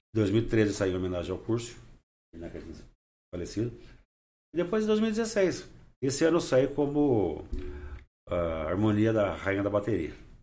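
A man's dark, mellow voice at medium pitch, fairly slow in pace with very wide pitch swings and long, frequent pauses, plus audible room echo. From Brazil, Rio Claro (São Paulo state). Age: 60s. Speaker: social columnist and carnival designer. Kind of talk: casual interview.

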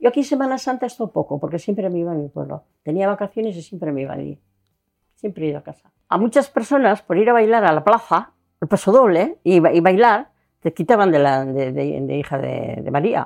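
Vocal fry runs through this woman's speech. She talks at a fairly quick pace with very wide pitch swings. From Spain, Burgos province (Castile). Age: 80s+. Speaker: local resident interviewee. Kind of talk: interview.

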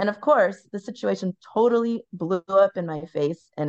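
A woman's normal speaking voice with lively intonation, dry and close with no echo. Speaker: podcast co-host. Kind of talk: casual chat.

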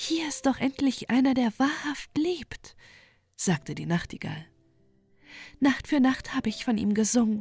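The voice has a soothing, calm tone with lively intonation. Long pauses come often. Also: woman. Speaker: audiobook narrator. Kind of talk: bedtime story reading aloud. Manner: slow, soft, soothing and calm, with a lulling storytelling rhythm.

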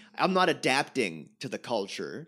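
A man's voice, marked by vocal fry, comes through in a very clean recording with a silent background. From Montreal, Quebec, Canada. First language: French. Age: 30s. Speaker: stand-up comedian. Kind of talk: casual chat.

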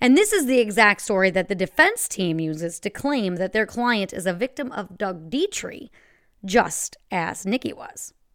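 An unremarkable speaking voice: a woman at medium pitch and moderate pace, with lively intonation, on a very clean recording with a silent background. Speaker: true crime podcast host. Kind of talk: true-crime narration, told as a scripted, gripping story with dramatic reveals.

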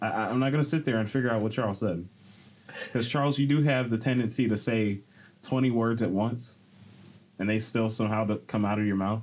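A man with an unremarkable speaking voice talks at a fairly quick pace, medium pitch and fairly even intonation. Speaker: podcast host. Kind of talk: casual chat.

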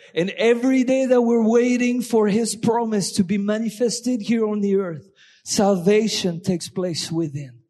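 A man speaks with an animated tone at a fairly slow pace. His pitch is high, with ordinary variation. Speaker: visiting guest speaker. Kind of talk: sermon. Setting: church.

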